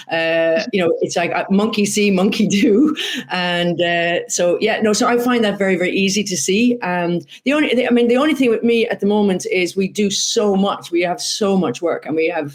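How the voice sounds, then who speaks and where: Speaking at a moderate pace in an Irish accent, a woman holds a medium pitch with ordinary pitch variation and very even loudness, over noticeable background noise. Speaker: horse racing commentator and former jockey. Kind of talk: interview. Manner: animated.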